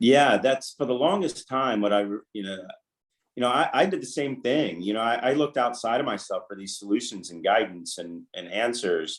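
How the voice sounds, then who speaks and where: Medium-pitched man with an American accent, lively intonation and big swings in loudness, at a moderate pace. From US Southeast coast, small island. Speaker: life coach. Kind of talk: interview. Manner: halting, self-correcting.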